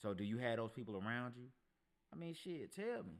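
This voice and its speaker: The speaker is a man with a medium pitch. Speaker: podcast host. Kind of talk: casual monologue.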